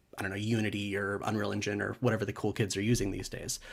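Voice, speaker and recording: Fairly quick speech with an American accent. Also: man. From California. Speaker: conference speaker, game developer. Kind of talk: conference talk. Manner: casual with frequent fillers.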